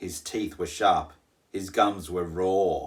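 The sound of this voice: A man with a low voice speaks at a very slow pace, his intonation fairly even.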